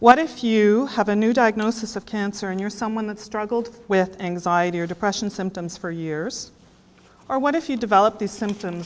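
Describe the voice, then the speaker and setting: A woman speaks at a fairly quick pace with a medium pitch and ordinary pitch variation. Her loudness swings widely. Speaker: health care professional presenting at a conference. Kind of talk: conference presentation.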